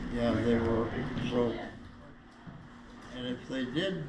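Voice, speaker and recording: In an American accent, a man at a medium pitch speaks at a moderate pace, with audible room echo and noticeable background noise. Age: 90s. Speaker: former prison inmate. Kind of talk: interview.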